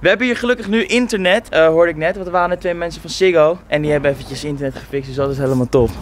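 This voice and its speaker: A man talks very fast in a high voice, with hardly any pauses and lively, animated delivery. The sound is dry with no echo, over light background noise. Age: 20s. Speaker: YouTube vlogger; vlogger. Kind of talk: casual vlog. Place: street. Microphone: phone near.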